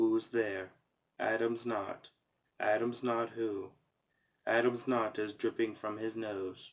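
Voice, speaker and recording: A man speaks at a very slow pace in a deadpan tone, with medium pitch and monotone, flat intonation. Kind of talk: casual talk to camera, reading jokes from a joke book. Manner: monotone, deadpan.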